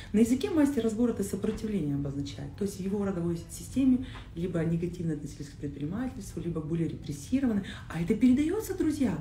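A woman's very fast speech with very wide pitch swings, audible room echo and light background noise. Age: 30s. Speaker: coach. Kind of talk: casual chat. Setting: live stream. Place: home room.

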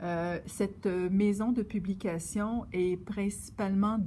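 At a fairly slow pace, a woman speaks in a medium pitch with a dark, mellow, somewhat breathy tone and fairly even intonation. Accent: Quebec. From Quebec. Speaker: yarn shop knitting presenter; presenter. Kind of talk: casual presentation. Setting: yarn shop. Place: shop.

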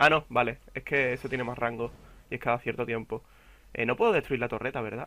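A man speaks at a very fast pace with a Castilian accent. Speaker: gaming youtuber. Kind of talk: gameplay commentary. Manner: casual, halting.

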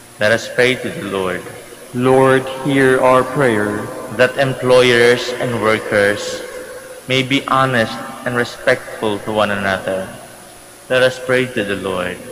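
Over noticeable background noise, a man talks at a very slow pace. His intonation stays fairly even. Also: medium pitch for a man. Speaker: priest. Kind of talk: gospel reading at mass. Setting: church.

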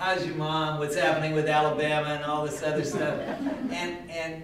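Speaking in a flat monotone at a moderate pace, a man is heard with audible room echo and light background noise. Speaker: city councilmember. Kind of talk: farewell speech at meeting. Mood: warm, reflective, lightly humorous. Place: meeting room.

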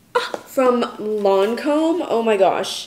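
In an American accent, a woman speaks in a fairly high pitch, with audible room echo. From Oregon, USA. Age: 20s. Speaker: marketing coordinator and lifestyle content creator. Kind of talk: casual vlog talk to camera. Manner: chatty, upbeat. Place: kitchen. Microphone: phone near.

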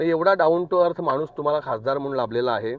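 With a plain, everyday voice, a man talks at a fairly high pitch with ordinary pitch variation. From Wada, Palghar district, Maharashtra. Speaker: concerned citizen. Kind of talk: public appeal to voters.

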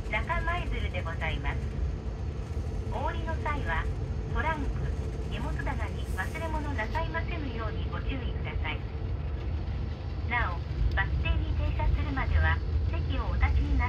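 With loud background noise behind him, a man speaks fairly slowly and with ordinary pitch variation. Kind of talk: recorded public announcement. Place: bus. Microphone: pa.

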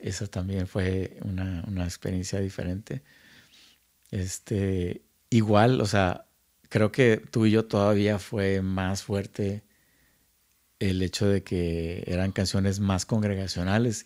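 This man talks at a very slow pace in a flat monotone with fairly low pitch. The recording is very clean with a silent background. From Monterrey, northern Mexico. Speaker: music producer and recording engineer. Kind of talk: casual chat. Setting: at home.

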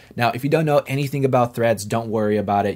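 Pitch variation in this man's voice is ordinary. Behind him the background stays quiet. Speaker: CAD tutorial maker. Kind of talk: tutorial. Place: home room.

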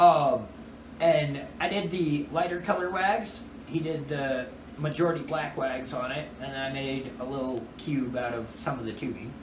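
A man with a fairly high pitch and ordinary pitch variation is heard over noticeable background noise. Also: fairly slow pace. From Colorado, US. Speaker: glass artist. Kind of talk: casual chat. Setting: glass shop. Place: shop. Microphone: phone near.

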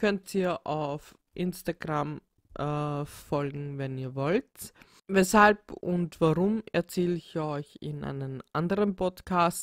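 A woman with a Viennese accent speaks at a very slow pace in a very deep, low pitch with ordinary pitch variation, the sound dry and close with no echo on a very clean recording with a silent background. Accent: Viennese Austrian German. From Austria, Vienna. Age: 30s. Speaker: podcaster. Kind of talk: solo podcast self-introduction. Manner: hesitant, many filler sounds.

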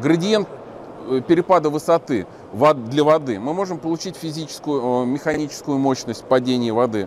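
A man with a fairly high pitch and lively intonation speaks at a moderate pace with long, frequent pauses over light background noise. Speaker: channel host and movement activist; vlogger. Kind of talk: on-location vlog and street interviews. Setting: crowded exhibition hall. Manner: animated. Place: hall. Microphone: lapel.

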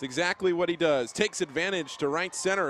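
A man with an unremarkable speaking voice talks moderately fast, his fairly high pitch varying in an ordinary way. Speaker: color commentator. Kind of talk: live baseball commentary, analyst interjections.

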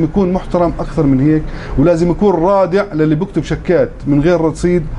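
The speech has ordinary pitch variation over light background noise. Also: man. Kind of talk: interview answer. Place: shop.

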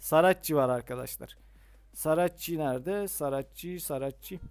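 The man's voice sits fairly high and moves with lively intonation. He speaks at a very slow pace. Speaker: mobile gaming YouTuber. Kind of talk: gameplay tutorial commentary. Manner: casual, many filler hesitations.

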